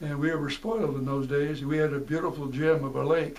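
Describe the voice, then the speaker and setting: In an American accent, a man with a fairly high pitch speaks at a moderate pace with fairly even intonation, and room echo is audible. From Seattle, US Pacific Northwest. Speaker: war veteran, retired teacher. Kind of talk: oral history interview. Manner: halting.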